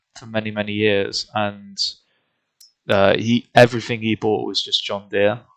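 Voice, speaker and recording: A British accent at a moderate pace, in a dry, close sound with no echo. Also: man. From UK. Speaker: gaming streamer. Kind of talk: live gameplay commentary. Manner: casual, hesitant with fillers.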